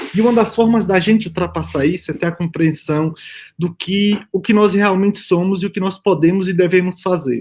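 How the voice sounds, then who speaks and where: High-pitched for a man, this voice moves at a moderate pace with ordinary pitch variation. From Brazil, Bahia backcountry (Northeast). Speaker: immunologist, panel speaker. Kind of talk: conference talk. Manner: hesitant fillers, repeated words.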